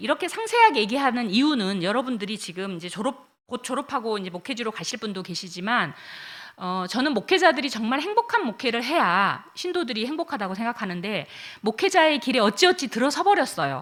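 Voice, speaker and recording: A woman's fairly high voice with very wide pitch swings, big swings in loudness and a fairly quick pace. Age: 60s. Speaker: pastor. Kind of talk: lecture. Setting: chapel. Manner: hesitant fillers.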